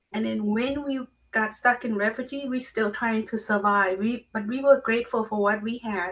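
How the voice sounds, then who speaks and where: A woman with a Lao accent speaks at a moderate pace in a fairly high voice with fairly even intonation. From Laos. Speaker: memoir author and speaker. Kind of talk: interview.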